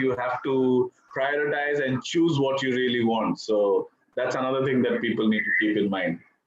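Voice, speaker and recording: With an Indian accent, a man speaks at medium pitch. His pace is moderate and his pitch variation ordinary. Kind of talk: interview answer.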